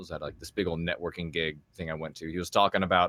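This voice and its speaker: In a very clean recording with a silent background, a man talks at a very fast pace with a very deep, low pitch and a bright, sharp tone. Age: 20s. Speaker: voice actor and streamer. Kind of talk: casual chat.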